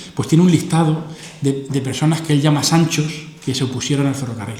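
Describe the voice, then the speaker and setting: A man talks at a very fast pace amid audible room echo and noticeable background noise. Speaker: philosopher giving a lecture. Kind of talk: lecture.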